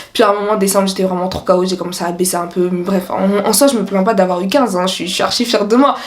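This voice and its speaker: Speaking at a very fast pace, a woman keeps her intonation fairly even. Noticeable background noise and audible room echo fill the recording. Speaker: student youtuber. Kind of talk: casual vlog advice. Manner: casual, fast.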